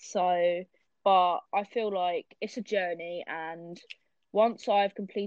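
A woman speaks with a British accent at a medium pitch. Her intonation is flat and monotone. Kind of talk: casual chat.

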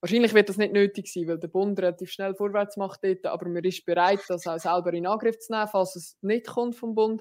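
A normal speaking voice from a woman of medium pitch, fairly quick with hardly any pauses and fairly even intonation, on a very clean recording with a silent background. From rural canton of Lucerne, Switzerland. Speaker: politician, party general secretary. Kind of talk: casual interview.

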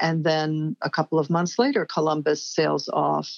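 A woman talks at a fairly slow pace in a dry, close sound with no echo. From New York. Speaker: cultural anthropologist and writer. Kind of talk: interview.

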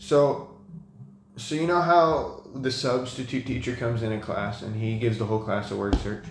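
Through audible room echo and noticeable background noise, a man with an American accent talks at a moderate pace, medium pitch and ordinary pitch variation. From California, Sacramento. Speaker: university student. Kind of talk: casual chat.

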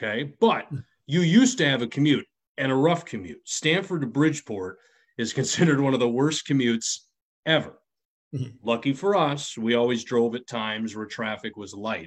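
With an American accent, a man uses an unremarkable speaking voice at medium pitch and lively intonation. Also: moderate pace. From US Midwest. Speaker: podcast co-host, former radio host. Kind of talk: casual chat.

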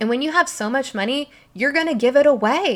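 A woman at a moderate pace, animated in tone with lively intonation, on a very clean recording with a silent background. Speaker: podcast host, spiritual coach. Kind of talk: casual monologue. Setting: recording at night on her bed.

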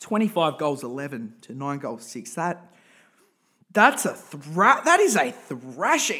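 A man with an Australian accent speaks in an animated, bright, sharp tone with very wide pitch swings. The recording is very clean, with a silent background. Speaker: podcast host and football supporter. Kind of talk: angry rant about football team, casual podcast monologue. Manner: animated, ranting, exasperated, over-the-top; repetitive, emphatic.

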